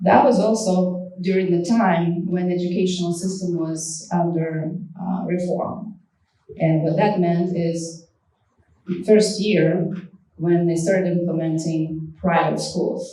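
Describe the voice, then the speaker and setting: A woman with a Russian accent speaks at a very slow pace and fairly low pitch. Her intonation is monotone and flat, with audible room echo. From Soviet Far East and Crimea, Ukraine. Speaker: guest speaker. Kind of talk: public talk. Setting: event with audience.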